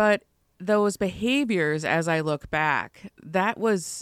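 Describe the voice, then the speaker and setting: In an American accent, a woman with a fairly low pitch and lively intonation speaks very slowly, the sound dry and close with no echo on a very clean recording with a silent background. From Chicago. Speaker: mental health counselor. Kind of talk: interview.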